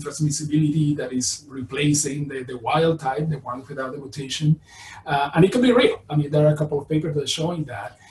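Amid audible room echo, a man with a Spanish accent speaks at a very fast pace. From Venezuela. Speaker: virology professor. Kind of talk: lecture. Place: home room. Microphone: webcam.

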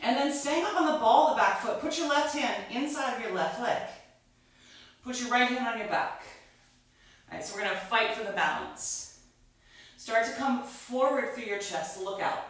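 With strong room echo around her, a woman speaks at a moderate pace in a high voice with lively intonation, leaving long, frequent pauses. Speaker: yoga instructor. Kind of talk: guided yoga class, live online. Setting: online live class with music playing. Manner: calm, flowing, cueing poses in a steady soothing rhythm; warm and inviting, greeting students.

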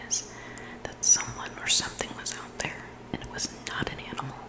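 A woman whispering breathily at a moderate pace, with noticeable background noise. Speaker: ASMR storyteller. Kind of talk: reading scary stories aloud. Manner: close breathy whisper into microphone. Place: home room. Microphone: studio mic.

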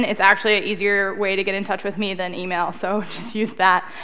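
A woman's bright, sharp tone at a fairly quick pace. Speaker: conference speaker. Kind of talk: lecture. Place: hall.

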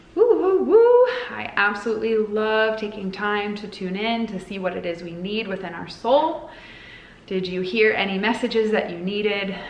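A woman speaks at a moderate pace with ordinary pitch variation. Audible room echo surrounds her voice. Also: medium pitch for a woman. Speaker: spiritual guide and oracle card reader. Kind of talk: guided meditation. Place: home room. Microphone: phone near.

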